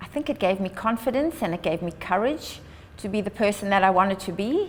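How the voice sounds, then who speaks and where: A woman speaks with a South African accent at medium pitch. Her intonation is lively and her pace fairly quick. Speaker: charity founder and long distance runner. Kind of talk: prepared address.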